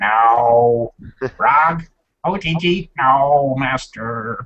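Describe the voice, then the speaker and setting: Putting on a character voice, a man speaks very slowly at a medium pitch. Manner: hesitant, puzzled.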